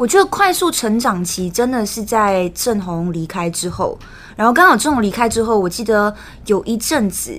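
This woman's pitch sits fairly high and swings very widely. Her pace is moderate. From Malaysia. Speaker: news editor. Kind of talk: casual chat.

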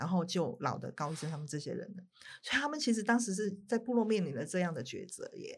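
A woman speaks at a very fast pace with very wide pitch swings. Her voice sits at a medium pitch and is somewhat breathy. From Taiwan. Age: 50s. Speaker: writer and documentary director. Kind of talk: interview.

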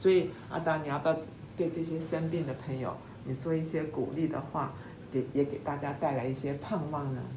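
A woman's very deep, low voice with fairly even intonation, at a fairly quick pace, in audible room echo. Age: 70s. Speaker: podcast host. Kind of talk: interview.

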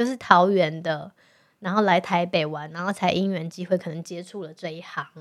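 With a Taiwanese accent, a woman speaks at a fairly low pitch and a moderate pace, her intonation fairly even but her loudness swinging widely, on a very clean recording with a silent background. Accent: Taiwanese Mandarin. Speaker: podcast co-host. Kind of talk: casual chat. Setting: studio.

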